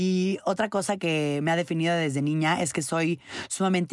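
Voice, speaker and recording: At a moderate pace, a woman speaks with a very deep, low pitch and fairly even intonation. The sound is dry and close with no echo, on a very clean recording with a silent background. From Mexico. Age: 20s. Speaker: podcast host. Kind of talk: personal monologue.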